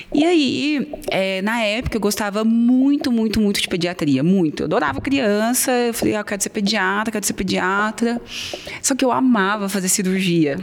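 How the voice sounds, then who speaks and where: A woman speaks with a slight Minas Gerais accent. Noticeable background noise is present. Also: medium pitch for a woman, lively intonation, moderate pace. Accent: faint Minas Gerais. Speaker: ENT doctor. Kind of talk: casual interview chat.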